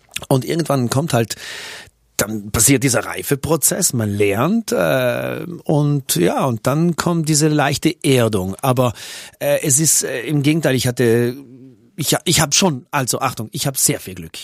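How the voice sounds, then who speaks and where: Recorded very cleanly against a silent background with a dry, close sound and no echo, a man with a normal speaking voice and medium pitch talks at a fairly slow pace with lively intonation. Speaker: radio and TV presenter and musician. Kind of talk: casual interview.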